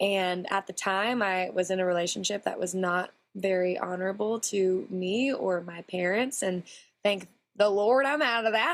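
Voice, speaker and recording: In a Texan accent, a woman speaks at medium pitch with ordinary pitch variation. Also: moderate pace. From Texas. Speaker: country singer. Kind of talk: interview.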